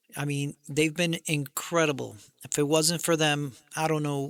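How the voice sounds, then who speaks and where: Here a man speaks at a very slow pace in a fairly high pitch. The recording is very clean, with a silent background. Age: 60s. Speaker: military veteran and independent creator. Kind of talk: casual monologue. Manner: halting with fillers.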